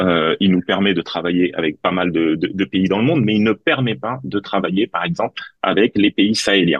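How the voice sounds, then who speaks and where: This man has an ordinary speaking voice, fairly low in pitch. He talks at a moderate pace. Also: ordinary pitch variation, hardly any pauses. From Tunisia. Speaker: politician, parliamentary candidate. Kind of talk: political debate.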